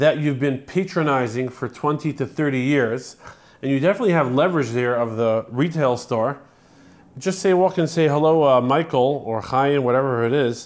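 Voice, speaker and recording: In a very clean recording with a silent background, a man with an unremarkable speaking voice talks at a moderate pace, his fairly high pitch showing ordinary variation. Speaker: art gallery owner and business advisor. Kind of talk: casual chat.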